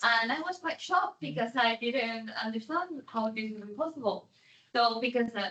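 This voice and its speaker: A woman's fairly high voice with a Spanish accent, very wide pitch swings and a moderate pace. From Spain. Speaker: delivery company worker. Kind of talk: audience question.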